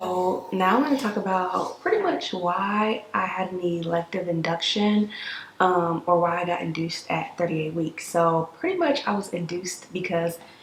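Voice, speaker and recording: A quiet, raspy, whispered put-on character voice speaks at a moderate pace. Light background noise sits underneath. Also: woman. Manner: whispering, hushed.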